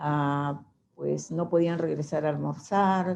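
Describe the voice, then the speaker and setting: A dark, mellow tone at a very slow pace. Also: woman. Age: 70s. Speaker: testimony giver, mother of a victim. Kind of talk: testimony.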